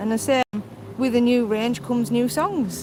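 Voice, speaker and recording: In a Cumbrian accent, a woman speaks at a fairly slow pace. Background noise is noticeable. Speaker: mobility vlogger, wheelchair user. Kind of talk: live stream casual chat. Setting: outdoors, on the promenade.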